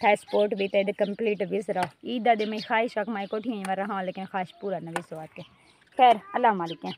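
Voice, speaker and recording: This woman's voice sits at a medium pitch. She speaks at a moderate pace with fairly even intonation. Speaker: vlogger, housewife. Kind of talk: casual vlog talk to viewers. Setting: outdoors at tandoor oven, village home. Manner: hesitant, many fillers.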